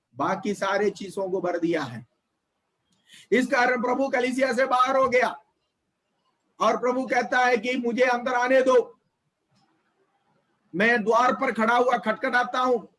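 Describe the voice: Pitched extremely high, a man speaks at a fairly slow pace with long, frequent pauses. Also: ordinary pitch variation, fairly bright tone.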